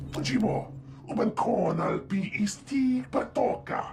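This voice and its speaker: Over clear background noise, a man puts on a character voice, high-pitched for a man, moving at a fairly slow pace. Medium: video game.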